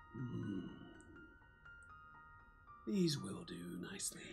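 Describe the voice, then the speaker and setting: A man uses a put-on character voice, very deep, low and growling. Clear music plays in the background. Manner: eerie villainous.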